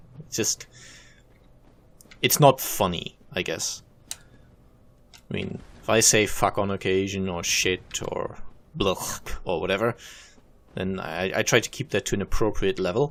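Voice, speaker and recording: A man's fairly low voice with ordinary pitch variation and long, frequent pauses. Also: fairly slow pace. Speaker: gaming video creator. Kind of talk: let's play commentary.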